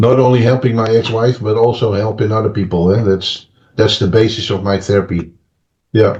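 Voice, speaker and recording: A somewhat breathy man at a medium pitch, fairly quick pace and fairly even intonation. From Netherlands. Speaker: therapist and author. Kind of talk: interview. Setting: podcast interview. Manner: hesitant, many fillers and restarts.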